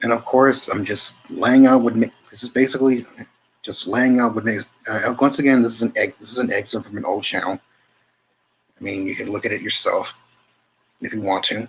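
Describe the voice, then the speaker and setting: Mumbling at a fairly quick pace, a man uses fairly even intonation, with long, frequent pauses and big swings in loudness. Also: medium pitch for a man. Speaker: channel host reading a text aloud. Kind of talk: casual talk to viewers. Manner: halting. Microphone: poor mic, hard to hear.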